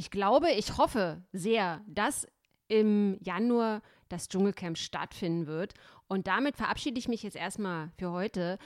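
On a very clean recording with a silent background, a woman uses an ordinary speaking voice at medium pitch with ordinary pitch variation. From East Germany. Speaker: podcast host and columnist. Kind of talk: casual chat.

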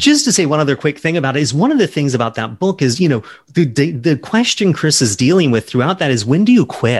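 Somewhat breathy speech at a very fast pace, with very wide pitch swings over a quiet background. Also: man, fairly high pitch for a man. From US South, Charleston, South Carolina. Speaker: novelist. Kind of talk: interview.

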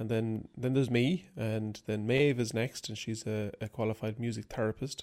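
With an Irish accent and a medium pitch, a man talks at a moderate pace, hardly pausing, in fairly even intonation. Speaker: banjo player and music teacher. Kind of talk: interview.

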